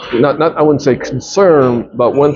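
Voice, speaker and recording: Speaking with a Japanese accent, a man keeps ordinary pitch variation at a fairly slow pace. Background noise is noticeable. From Japan, Tokyo. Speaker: businessman and investor. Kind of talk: interview. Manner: halting, many fillers and restarts.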